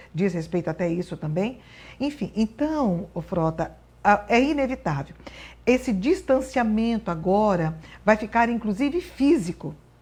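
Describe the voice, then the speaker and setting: Her intonation moves in a lively way as she talks at a medium speed. The woman's voice carries some breathiness. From Brazil, northern Paraná. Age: 60s. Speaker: appellate judge. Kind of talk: interview.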